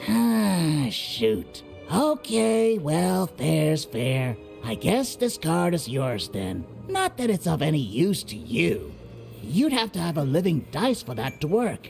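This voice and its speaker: A put-on character voice with a low-to-middle pitch moves at a fairly slow pace over clear music in the background. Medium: actual play.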